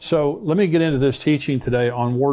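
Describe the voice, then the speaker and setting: At a fairly quick pace, a man talks with a dark, mellow tone, medium pitch and ordinary pitch variation. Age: 60s. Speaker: pastor and Bible prophecy teacher. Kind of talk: sermon-style Bible teaching.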